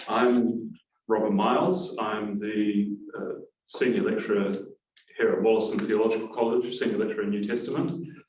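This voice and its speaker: A man talks at medium pitch and a moderate pace with a slight New Zealand accent. His pitch varies in an ordinary way, and room echo is audible. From New Zealand (Auckland). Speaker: university lecturer. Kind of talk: class introduction. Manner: hesitant, many fillers.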